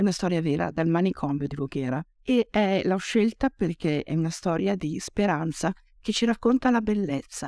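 A fairly low-pitched woman's voice with lively intonation at a moderate pace, dry and close with no echo, on a very clean recording against a silent background. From Oltrepò Pavese, Lombardy, Italy. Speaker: anthology editor and writer. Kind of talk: reading aloud. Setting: stage with audience.

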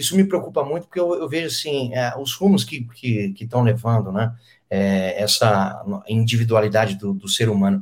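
A man's voice, a normal speaking voice, with lively intonation at a moderate pace. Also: medium pitch for a man. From São Paulo interior, Brazil (Penápolis). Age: 30s. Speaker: radio host and comedian. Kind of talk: casual interview.

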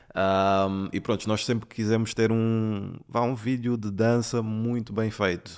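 Flat, monotone intonation carries words spoken at a fairly slow pace. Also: man. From London and Angola. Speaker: videomaker. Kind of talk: casual interview.

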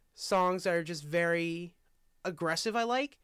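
A man projects a raised voice at a high pitch, the tone bright and sharp. The recording is very clean, and the background is silent. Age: 20s. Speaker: college student. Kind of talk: casual chat.

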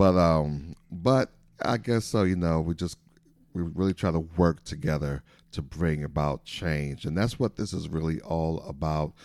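With an American accent, a man speaks fairly slowly in a very deep, low pitch with ordinary pitch variation. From US Midwest, Saint Paul, Minnesota. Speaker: pastor and political candidate. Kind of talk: interview. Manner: hesitant with many filler words.

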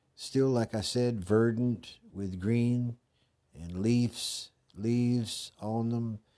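Using fairly even intonation, a man with a dark, mellow tone speaks at a very slow pace. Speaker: podcast host. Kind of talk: casual monologue. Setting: bathroom with echo. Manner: rambling with many fillers.

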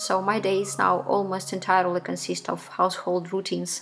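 Noticeable background noise sits behind a woman speaking at a medium pitch with a Ukrainian accent. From Ukraine. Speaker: musician. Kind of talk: recorded statement.

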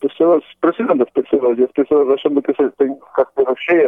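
This man speaks with a fairly high pitch. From Poland. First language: Polish (speaking Portuguese). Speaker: guest interviewee, Polish expatriate. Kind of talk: casual interview chat. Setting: phone call. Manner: halting, many repetitions.

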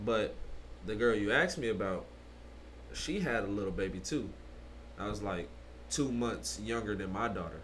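A man with an American accent speaks at a moderate pace and a fairly low pitch, his voice swinging very widely and showing vocal fry. Long, frequent pauses break up his speech, and room echo is audible. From Detroit, then Arkansas from age 15. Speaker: new podcast co-host. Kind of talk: casual chat.

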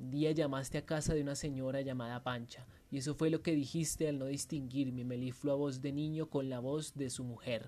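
In a theatrical, menacing tone, the voice moves at a moderate pace with hardly any pauses. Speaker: writing workshop instructor. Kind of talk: dramatic first-person narration of a short story, read aloud with a guide intro. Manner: vivid, theatrical storytelling, tense and menacing.

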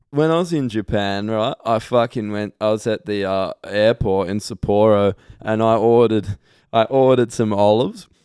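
A man with a normal speaking voice, fairly low-pitched, at a moderate pace with ordinary pitch variation. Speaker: podcast host. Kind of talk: casual banter podcast.

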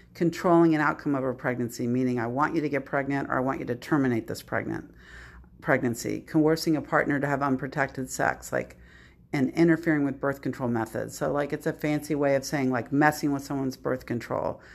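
Fairly even intonation carries the speech along at a fairly quick pace. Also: woman, very deep, low pitch for a woman. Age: 60s. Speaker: domestic violence advocate. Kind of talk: interview.

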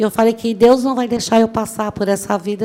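A woman speaks with a dark, mellow tone. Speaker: motivational speaker, law graduate. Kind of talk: motivational talk. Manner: animated.

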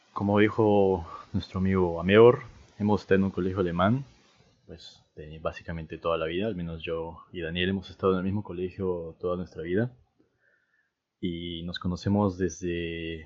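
A man with a very deep, low voice talks at a moderate pace, his intonation fairly even. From Peru. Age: 20s. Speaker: podcast co-host, university student. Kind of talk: casual chat.

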